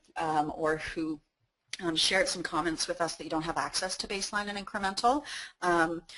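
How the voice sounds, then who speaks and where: A woman's fairly low-pitched voice with ordinary pitch variation. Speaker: webinar presenter. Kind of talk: webinar presentation. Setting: online webinar. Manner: fast; hesitant, many fillers.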